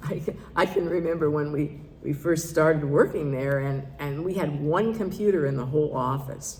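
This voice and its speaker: A woman talks at a moderate pace with ordinary pitch variation. Room echo is audible. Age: 70s. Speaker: minister. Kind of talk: sermon. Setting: church service.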